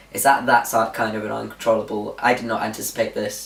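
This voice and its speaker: A man with a British accent at a very fast pace and medium pitch, with noticeable background noise. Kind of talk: casual vlog update. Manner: informal, with fillers.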